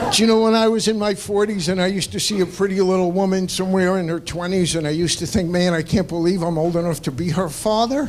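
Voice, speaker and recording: Talking at a very fast pace with hardly any pauses, a man with a high pitch and ordinary pitch variation comes through audible room echo and noticeable background noise. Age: 60s. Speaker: stand-up comedian. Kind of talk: stand-up. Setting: stage with audience.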